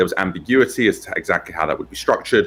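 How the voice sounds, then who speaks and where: This man talks with a British accent. He goes at a very fast pace. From UK. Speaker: tech company founder and CEO. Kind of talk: interview. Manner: hesitant, many fillers.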